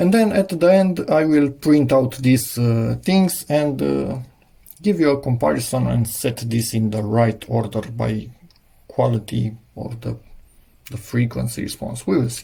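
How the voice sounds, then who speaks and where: A somewhat breathy man with a dark, mellow tone, medium pitch, very wide pitch swings and a fairly slow pace. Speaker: DIY electronics youtuber. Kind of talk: tutorial. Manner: halting.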